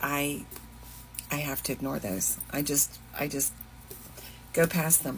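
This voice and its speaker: A woman speaks with a slight Southern US accent. Her voice carries vocal fry. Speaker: fashion and thrift vlogger. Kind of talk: casual vlog chat. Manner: casual, hesitant with fillers.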